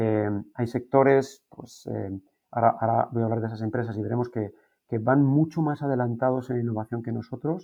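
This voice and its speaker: Moderate pace and medium pitch from a man, plus ordinary pitch variation. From Spain, Guadalajara. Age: 40s. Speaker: business school program director. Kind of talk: interview. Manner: halting, many fillers and repetitions.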